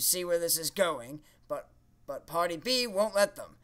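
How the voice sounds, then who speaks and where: In a cartoonish character voice, the speaker moves at a moderate pace with big swings in loudness. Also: man, high pitch for a man, lively intonation. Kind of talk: comedy puppet sketch. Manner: indignant, theatrical.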